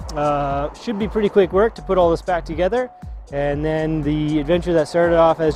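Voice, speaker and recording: Clear music in the background behind a man at a moderate pace, with ordinary pitch variation and a dry sound with no echo. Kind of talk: casual vlog chat. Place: garage.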